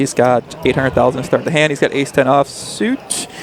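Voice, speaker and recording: Noticeable background noise fills the recording. Through it, a man speaks fairly quickly. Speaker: poker commentator. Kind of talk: live commentary. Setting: live stream at casino with crowd. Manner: casual, animated; monotone when talking strategy.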